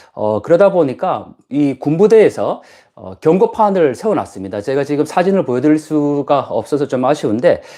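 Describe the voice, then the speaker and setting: A man's fairly high voice with a dark, mellow tone and very wide pitch swings against a quiet background. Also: moderate pace. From Gyeongsang province, South Korea. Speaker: professor and YouTuber. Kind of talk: live stream chat. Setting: guesthouse room on an island. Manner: many fillers, conversational.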